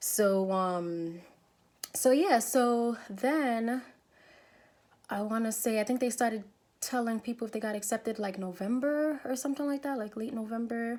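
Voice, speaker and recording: A woman with a New York accent speaks at a moderate pace in a fairly high pitch. Her pitch variation is ordinary. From New York City. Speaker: nurse. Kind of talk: casual vlog storytelling.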